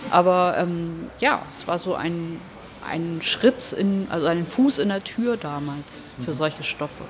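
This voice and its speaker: A woman speaks at a very slow pace with lively intonation. Noticeable background noise runs behind her. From Hamburg, northern Germany. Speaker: comic artist. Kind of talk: casual interview.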